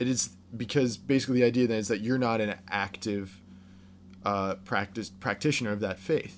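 Speaking at a fairly quick pace with a Midwestern American accent, a man with a fairly low pitch shows ordinary pitch variation. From Ohio, US Midwest. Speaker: podcast guest, friend of host. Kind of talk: casual chat.

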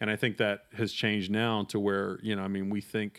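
Over a silent background in a very clean recording, a man with an American accent speaks at a fairly quick pace in a fairly low pitch, his intonation monotone and flat. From US South, North Carolina. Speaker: film journalist and critic. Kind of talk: casual conversation.

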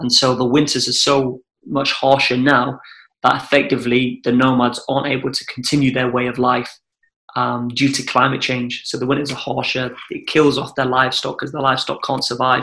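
A man with a Welsh accent, a bright, sharp tone, fairly quick delivery and monotone, flat intonation. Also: medium pitch for a man. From Wales. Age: 20s. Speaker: adventurer. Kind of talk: casual chat.

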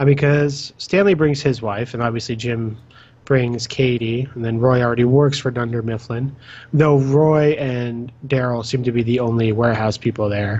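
This man has an ordinary speaking voice at a medium pitch. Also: fairly even intonation, moderate pace. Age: 20s. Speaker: podcast host. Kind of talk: casual chat.

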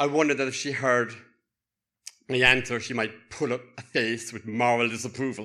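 With a Cork accent, a man speaks at a medium pitch and a moderate pace. His tone is bright and sharp, and his pitch varies in an ordinary way. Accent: Cork accent, lilting. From Cork, Ireland. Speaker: university lecturer, storyteller. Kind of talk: personal storytelling. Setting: stage with audience.

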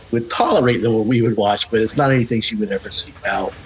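A medium-pitched male voice with fairly even intonation against noticeable background noise. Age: 40s. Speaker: horror podcast co-host, guest. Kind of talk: casual chat.

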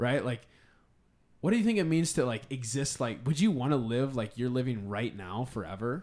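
A man with an unremarkable speaking voice talks at a moderate pace and medium pitch. His intonation is lively. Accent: American. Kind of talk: casual chat.

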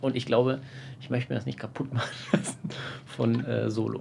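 Noticeable background noise accompanies a man whose pitch sits at a medium level. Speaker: podcast co-host. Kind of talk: casual chat. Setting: outdoors on a terrace. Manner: loud.

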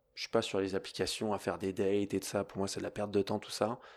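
The man has an unremarkable speaking voice, fairly low in pitch, at a fairly quick pace. The recording is very clean with a silent background. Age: 30s. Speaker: yoga teacher and podcast host. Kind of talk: casual monologue. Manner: conversational.

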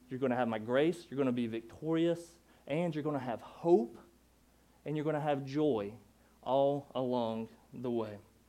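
A man with a North Carolina accent speaks in a dark, mellow tone at a medium pitch and moderate pace, his pitch varying in an ordinary way. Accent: Southern US (North Carolina). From US South, Durham, North Carolina. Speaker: preacher. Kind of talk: sermon. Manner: animated.

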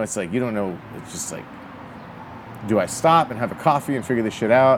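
A man of medium pitch talks at a very fast pace. Noticeable background noise fills the clip. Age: 40s. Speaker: motorcycle rally organizer. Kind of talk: casual chat.

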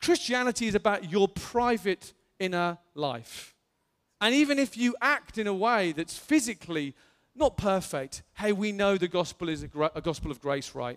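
A man's high voice at a moderate pace, with very wide pitch swings, in a dry, close sound with no echo, with music in the background. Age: 40s. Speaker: pastor. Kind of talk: sermon. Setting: church. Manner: halting.

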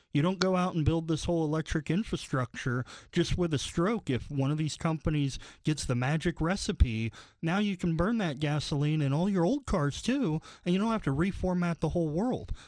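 Against a quiet background, a man with an ordinary speaking voice talks at a fairly quick pace, fairly high in pitch with ordinary pitch variation. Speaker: financial planner, co-host. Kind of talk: radio talk show, conversational.

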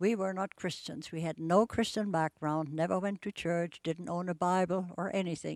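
A woman with a German accent speaks at a fairly low pitch in monotone, flat intonation. The recording is very clean and dry, close with no echo and a silent background. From Germany, Bremen. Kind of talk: testimony.

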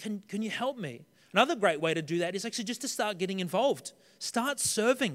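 Speaking very fast with an Australian accent, a man uses lively intonation at a high pitch. The recording is very clean, with a silent background. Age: 30s. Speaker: pastor. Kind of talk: sermon. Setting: church.

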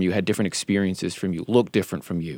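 A man's voice with ordinary pitch variation, dry and close with no echo, on a very clean recording with a silent background. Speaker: radio host and journalist. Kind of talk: podcast hosting, moderating a panel discussion. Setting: radio studio.

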